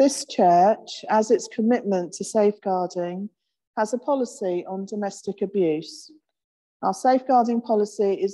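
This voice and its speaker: A woman speaks at a fairly slow pace, her pitch varying in an ordinary way, with a quiet background. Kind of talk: sermon. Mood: gentle, reflective. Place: church.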